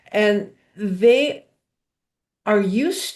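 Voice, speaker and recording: A somewhat breathy voice with lively intonation and an American accent against a quiet background. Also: woman. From US Midwest, rural Michigan. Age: 70s. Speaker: panelist. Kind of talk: casual panel discussion.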